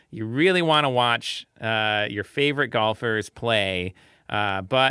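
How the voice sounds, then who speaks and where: This is a man with an ordinary speaking voice. His pitch sits in the medium range. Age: 30s. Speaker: research fellow and journal editor. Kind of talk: casual panel discussion.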